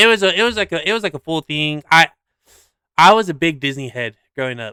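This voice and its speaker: A man's very fast, lively delivery, bright and sharp in tone, with a dry, close sound with no echo in a very clean recording with a silent background. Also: fairly high pitch for a man. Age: 30s. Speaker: podcast co-host. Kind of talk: casual chat. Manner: casual, many fillers.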